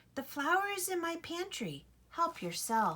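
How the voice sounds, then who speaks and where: A squeaky, put-on character voice with a warm tone, lively intonation and a fairly slow pace. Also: woman, extremely high pitch for a woman. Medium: read story. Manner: warm, friendly.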